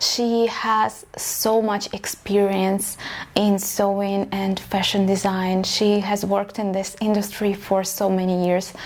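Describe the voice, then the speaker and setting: Speaking very slowly in a Russian accent, a woman keeps a medium pitch, a flat monotone and very even loudness. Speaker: vlogger, aspiring fashion designer. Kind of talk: personal story vlog.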